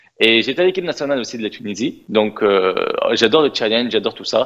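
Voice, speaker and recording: This man talks at a very fast pace. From Tunisia. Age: 20s. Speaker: influencer and pastry shop owner. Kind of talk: interview. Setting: TV studio. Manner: hesitant, many fillers.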